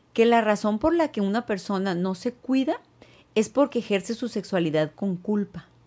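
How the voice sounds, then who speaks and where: The woman's voice has a dark, mellow tone and a fairly high pitch. She speaks at a moderate pace with lively intonation. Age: 50s. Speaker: gynecologist and sex therapist. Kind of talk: casual interview.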